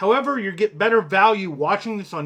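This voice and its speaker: A man's high-pitched voice with an American accent and lively intonation. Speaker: fishing youtuber and boat captain. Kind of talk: casual podcast monologue. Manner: sometimes slurred.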